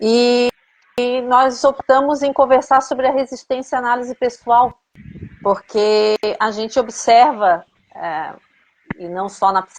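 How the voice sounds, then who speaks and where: A woman at a fairly slow pace. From Brazil, Florianópolis. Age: 50s. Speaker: psychoanalyst in training, live host. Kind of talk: casual chat.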